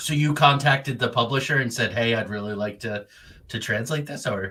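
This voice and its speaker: A man speaks with a bright, sharp tone. His pace is fairly quick. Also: medium pitch for a man, ordinary pitch variation. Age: 50s. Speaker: podcast host. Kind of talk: interview podcast.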